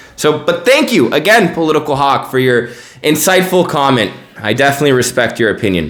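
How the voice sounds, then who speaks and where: A man with an American accent speaks at a fairly quick pace, his pitch fairly high and his intonation lively. His loudness stays very even, with noticeable background noise and audible room echo. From United States. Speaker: news podcast host. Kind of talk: news commentary podcast. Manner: casual, conversational.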